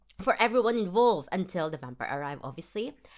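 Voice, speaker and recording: Lively intonation marks this woman's speech in a Filipino accent. The recording is very clean, with a silent background. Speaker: film review podcaster. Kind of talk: casual solo review. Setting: self-recorded podcast. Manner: casual, with fillers and restarts.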